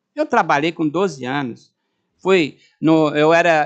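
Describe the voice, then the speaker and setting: Against a quiet background, a man with a normal speaking voice and fairly high pitch speaks at a fairly slow pace. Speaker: retired-age university professor and speaker. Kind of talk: informal talk to audience.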